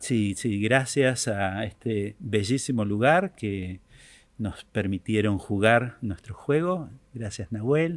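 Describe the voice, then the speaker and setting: In a very clean recording with a silent background, a man with a fairly low pitch speaks at a very slow pace with lively intonation. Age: 70s. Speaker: author and workshop creator. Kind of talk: podcast interview. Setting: theater. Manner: hesitant with filler words.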